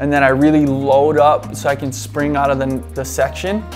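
A man talks with faint music in the background. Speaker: surfer reviewing his clips. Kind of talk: commentary. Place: home room.

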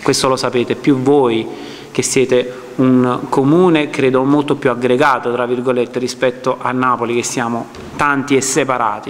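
The man's intonation is monotone and flat, and his pace is moderate. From Naples, Ponticelli. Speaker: film director. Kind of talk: public speech. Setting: public presentation with audience. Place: hall. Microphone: podium.

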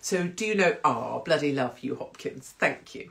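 A woman's fairly low-pitched voice against a quiet background. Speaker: live stream host. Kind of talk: casual vlog chat. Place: home room. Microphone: phone near.

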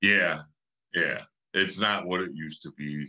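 A man with a Chicago accent speaks at a fairly slow pace in a very deep, low pitch. His tone is bright and sharp, and the background is quiet. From Cicero, Illinois (Chicago area); Illinois. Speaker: former gang member; podcast guest. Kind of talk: interview. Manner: casual, frequent fillers. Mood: calm, reflective storytelling. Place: home room. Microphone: video call.

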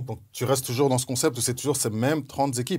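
At a moderate pace, a man speaks in a somewhat breathy voice with ordinary pitch variation. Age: 40s. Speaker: former pro basketball player and NBA analyst; NBA analyst. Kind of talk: casual chat. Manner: animated. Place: studio.

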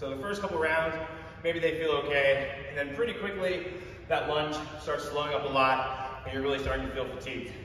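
There is light background noise and audible room echo. A man talks at a moderate pace with ordinary pitch variation. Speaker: fitness coach. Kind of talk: workout coaching instruction. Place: gym.

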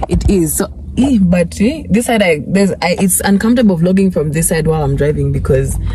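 Faint music plays behind a woman's voice, which sounds dry with no echo. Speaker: vlogger. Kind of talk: casual vlog chat. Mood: cheerful, upbeat. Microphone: phone near.

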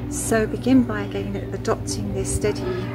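A woman talks very slowly, with noticeable background noise around her. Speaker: yoga teacher. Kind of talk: guided yoga / relaxation instruction. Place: garden. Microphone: phone near.

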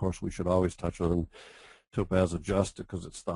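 This man's pitch is very deep and low, with a dark, mellow tone. His voice is somewhat breathy. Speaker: professional photographer. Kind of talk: webinar tutorial. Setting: online webinar with screen share. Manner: enthusiastic.

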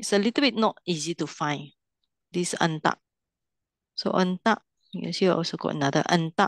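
A woman speaks at a moderate pace with a fairly low pitch and ordinary variation, leaving long, frequent pauses. The sound is dry with no echo, and the background is quiet. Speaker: Pali language teacher. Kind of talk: online language lesson. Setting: video call. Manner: instructive, leads students through exercises. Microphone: video call.

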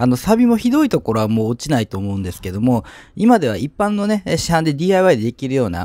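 Dry sound with no echo captures a man speaking. His tone is dark and mellow, his pace fairly quick. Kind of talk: tutorial. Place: street. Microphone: phone near.

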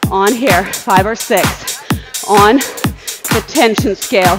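Music plays in the background. A woman speaks with ordinary pitch variation. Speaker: spin class instructor. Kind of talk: fitness class coaching. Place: gym. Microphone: earbuds.

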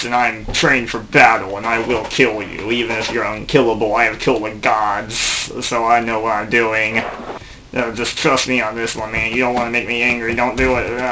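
A man puts on a character voice while clear background noise plays. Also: medium pitch for a man, moderate pace. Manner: threatening.

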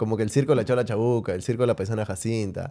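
The voice has a dark, mellow tone at a very fast pace. The background is quiet. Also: man. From Peru. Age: 30s. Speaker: podcast host; podcast host or guest. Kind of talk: casual chat. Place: studio. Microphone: studio mic.

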